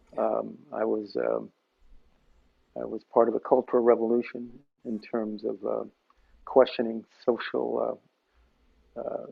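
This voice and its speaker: A fairly slow, American-accented delivery with long, frequent pauses and big swings in loudness. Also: man. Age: 60s. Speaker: session musician and music teacher. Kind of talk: interview conversation.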